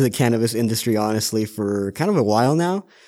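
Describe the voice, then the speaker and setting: A man's unremarkable speaking voice, fairly quick and with lively intonation, in a very clean recording against a silent background. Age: 20s. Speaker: cannabis pharmacy agent. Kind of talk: casual interview. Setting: on location at a dispensary.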